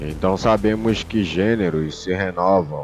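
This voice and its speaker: Over music in the background, a voice with a Brazilian accent speaks at a fairly slow pace. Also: man. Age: 20s. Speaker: film reviewer. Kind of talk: film review monologue. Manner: casual, colloquial.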